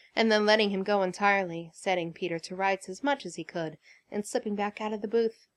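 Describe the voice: The voice is plain reading aloud. Nothing more is marked about it.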